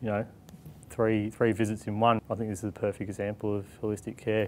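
Light background noise sits behind a man speaking at a fairly quick pace. His fairly low voice has monotone, flat intonation. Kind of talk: interview answer. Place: office. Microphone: lapel.

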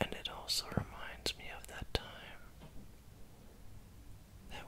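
Soft-spoken and whispering, a man talks over light background noise. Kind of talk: soft bedtime roleplay talk. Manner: soft sleepy whisper, close and intimate. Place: home room. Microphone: phone near.

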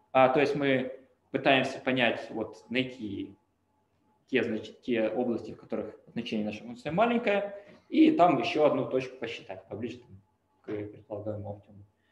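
Amid audible room echo, a man at a medium pitch speaks at a moderate pace with long, frequent pauses and big swings in loudness. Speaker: machine learning researcher. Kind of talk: lecture. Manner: halting. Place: home room. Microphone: webcam.

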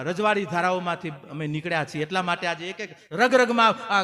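A man's high-pitched voice is raised and projected, with an animated, bright, sharp tone. His pitch varies in an ordinary way. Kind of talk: sermon.

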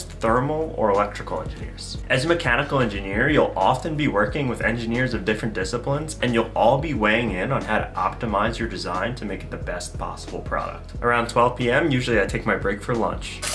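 A man talks in an upbeat tone at a very fast pace, hardly pausing, with clear music playing in the background. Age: 20s. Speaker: mechanical engineer. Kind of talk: casual vlog narration. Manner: upbeat, casual. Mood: cheerful, smiling. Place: home room. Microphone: studio mic.

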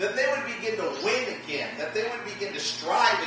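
Over music in the background, a man's raised, projected voice rings with strong room echo. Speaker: pastor. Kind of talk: sermon. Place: church.

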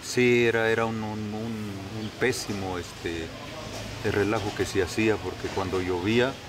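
Over noticeable background noise, a man talks at a fairly slow pace in a fairly low voice with fairly even intonation. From Mexico, Hidalgo. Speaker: local worker at tourist site. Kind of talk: interview. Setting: outdoors. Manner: halting. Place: open country.

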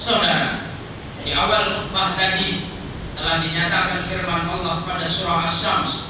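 Amid noticeable background noise and strong room echo, a man speaks at a fairly slow pace. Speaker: preacher. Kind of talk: sermon. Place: church.

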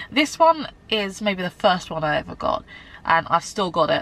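A woman speaks at a moderate pace in a dry sound with no echo. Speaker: beauty vlogger. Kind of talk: casual vlog chat.

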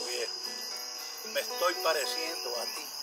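Amid loud background noise, a man speaks at a fairly slow pace. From Puerto Rico. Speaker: poetry reciter. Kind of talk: poetry reading. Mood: tender, nostalgic.

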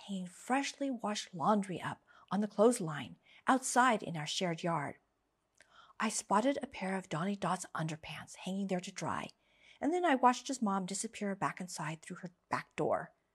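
Against a quiet background, a somewhat breathy voice with an American accent carries lively intonation. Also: woman. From United States. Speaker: English teacher. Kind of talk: story reading for language learners. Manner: slow, clear. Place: studio. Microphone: studio mic.

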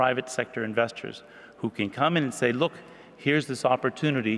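A man's voice with ordinary pitch variation. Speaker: speaker. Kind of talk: conference presentation. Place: hall. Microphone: podium.

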